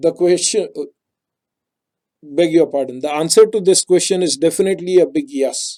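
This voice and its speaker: A man with a Marathi accent speaks at a high pitch in a dark, mellow tone with ordinary pitch variation. His pace is moderate, with long, frequent pauses. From India, Maharashtra. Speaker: technical writing trainer. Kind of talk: webinar presentation.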